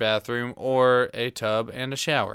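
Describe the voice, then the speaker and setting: On a very clean recording with a silent background, a man with a Southern US accent speaks at a fairly slow pace, his medium-pitched voice carrying a bright, sharp tone. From Tennessee, US South. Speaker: host's boyfriend. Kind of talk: casual chat.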